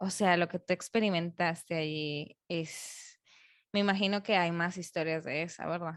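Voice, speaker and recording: A woman speaks with a fairly low pitch and fairly even intonation. The background is quiet. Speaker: podcast host. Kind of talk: interview conversation. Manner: soft-spoken; calm.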